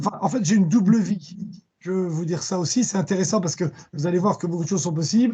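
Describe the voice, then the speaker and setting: A man speaks with a high-pitched voice. His pitch moves up and down by an ordinary amount. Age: 60s. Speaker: fintech company chairman. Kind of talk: conference talk. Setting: video call. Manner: halting, many repetitions and fillers.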